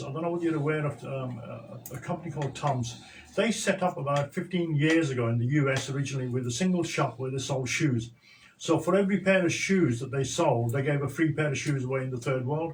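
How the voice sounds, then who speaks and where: An ordinary speaking voice from a man, fairly high-pitched, at a fairly quick pace with ordinary pitch variation. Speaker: social entrepreneur. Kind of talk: radio interview.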